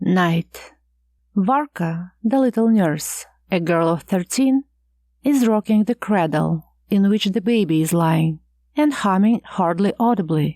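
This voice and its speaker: A woman's dark, mellow voice has lively intonation and very even loudness at a fairly slow pace. The recording is very clean with a silent background, and the sound is dry and close with no echo. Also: medium pitch for a woman. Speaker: audiobook narrator. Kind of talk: audiobook narration of a classic short story.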